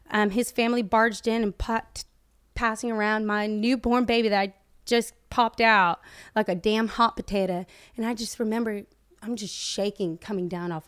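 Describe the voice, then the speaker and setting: With a Southern US accent, a woman speaks at a moderate pace in a fairly high pitch and fairly even intonation, in a very clean recording with a silent background. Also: dry, close sound with no echo. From US South, rural Florida (Plant City). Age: 20s. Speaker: social media personality. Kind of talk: casual chat.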